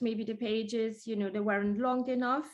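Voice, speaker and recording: A woman speaks with an Italian accent at a fairly high pitch and fairly even intonation. The background is quiet. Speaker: small business owner, website review guest. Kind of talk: casual chat. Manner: halting.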